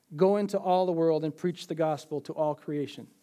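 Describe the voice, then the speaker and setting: A man with an Upper Midwest accent, high pitch and a dark, mellow tone, in a very clean recording with a silent background. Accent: Upper Midwest American. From Minnesota, US. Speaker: church member giving testimony. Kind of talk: testimony.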